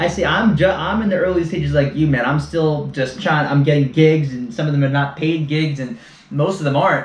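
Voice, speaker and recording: Noticeable background noise sits behind this man's voice. He talks at a fairly quick pace with ordinary pitch variation. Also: fairly high pitch for a man. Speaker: podcast host. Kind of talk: podcast interview host. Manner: upbeat.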